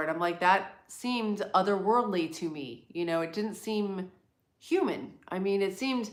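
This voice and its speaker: A woman with an American accent speaks at a medium pitch and moderate pace with lively intonation, and audible room echo can be heard. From US East Coast, near New York City. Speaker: livestream host. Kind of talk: casual live chat. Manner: clear.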